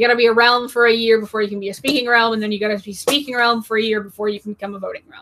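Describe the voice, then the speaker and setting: Speaking at a very fast pace with hardly any pauses, a woman keeps her intonation fairly even. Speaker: class presenter, hobby group history teacher. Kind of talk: online class lecture. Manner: casual with filler words.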